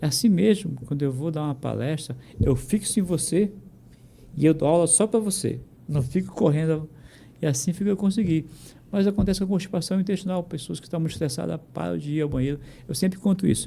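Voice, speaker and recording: A man's fairly high voice with a dark, mellow tone, fairly quick, with ordinary pitch variation. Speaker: physician. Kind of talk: interview. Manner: fast; animated.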